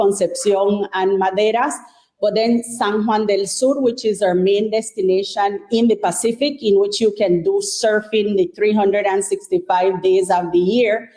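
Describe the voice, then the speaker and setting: A woman with a Caribbean Nicaraguan accent speaks at a fairly slow pace, medium in pitch, with fairly even intonation. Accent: Nicaraguan Caribbean Creole. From Caribbean coast of Nicaragua, Bluefields. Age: young. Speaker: government minister. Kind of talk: interview. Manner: frequent 'eh' fillers.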